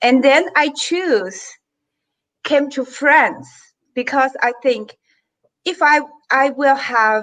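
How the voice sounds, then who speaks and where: With a Chinese accent, a woman speaks at a very slow pace in a high pitch with ordinary pitch variation. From China. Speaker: tourism business executive. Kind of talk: panel discussion. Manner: halting. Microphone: microphone problem.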